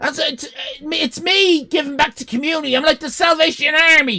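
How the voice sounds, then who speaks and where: A man's raised, projected voice with a bright, sharp tone at a moderate pace. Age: 50s. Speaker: streamer. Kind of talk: live stream chat. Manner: animated.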